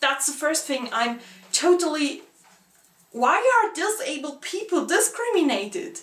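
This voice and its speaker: A woman with a non-native accent speaks with very wide pitch swings. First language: not English. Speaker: book vlogger. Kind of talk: casual vlog monologue. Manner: halting.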